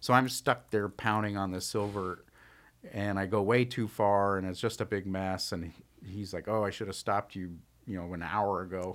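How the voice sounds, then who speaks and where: A man with an American accent has a normal speaking voice. His pitch is fairly low, his intonation fairly even, and the recording very clean with a silent background. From Tucson, Arizona. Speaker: silversmith. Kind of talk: casual chat.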